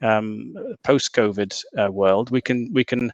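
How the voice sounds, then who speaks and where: A man with a northern English accent speaks at medium pitch with fairly even intonation, his voice dry and close with no echo over a quiet background. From northern England. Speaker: panel moderator. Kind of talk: webinar closing summary. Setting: video call. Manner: halting, many repetitions.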